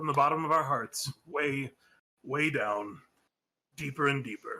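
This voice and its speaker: A man puts on a character voice that is fairly high and raspy. He keeps a moderate pace. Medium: actual play.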